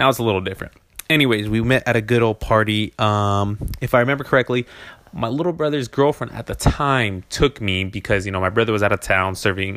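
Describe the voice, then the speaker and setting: Using a normal speaking voice, a man talks at a fairly quick pace with fairly low pitch and ordinary pitch variation. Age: 20s. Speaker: podcast host. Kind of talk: casual monologue. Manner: laid-back, rambling with fillers.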